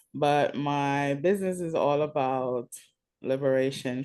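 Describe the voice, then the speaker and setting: In a Jamaican accent, a woman speaks with a dark, mellow tone at a very deep, low pitch. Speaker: wellness business owner. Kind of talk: networking call self-introduction. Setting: video call.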